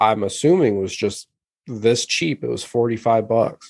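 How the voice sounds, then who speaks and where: A man's unremarkable speaking voice at a medium pitch, moderate in pace, with ordinary pitch variation. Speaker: podcast co-host. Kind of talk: casual banter podcast. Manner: laid-back, joking.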